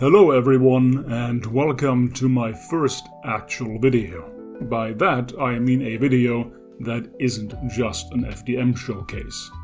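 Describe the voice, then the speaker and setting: Music plays behind a man speaking at a medium pitch. He talks at a very slow pace with ordinary pitch variation. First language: not English. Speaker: 3D printing hobbyist. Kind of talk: tutorial narration.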